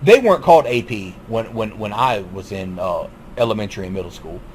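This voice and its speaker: Over noticeable background noise, a man with a Southern US accent talks at a fairly quick pace, his pitch swinging very widely. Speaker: YouTube commentator. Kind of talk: monologue commentary. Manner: halting, repetitive.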